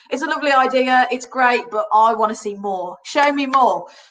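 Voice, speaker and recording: An animated speaker with a Birmingham accent projects a raised voice with a bright, sharp tone. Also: woman. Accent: Birmingham (Brummie). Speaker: cruise line sales representative. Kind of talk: trade webinar presentation. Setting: online webinar.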